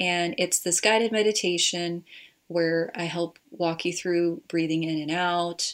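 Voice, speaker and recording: In an American accent, a woman with a plain, everyday voice speaks fairly low and fairly slowly with fairly even intonation. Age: 30s. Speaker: marriage and family therapist. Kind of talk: casual chat.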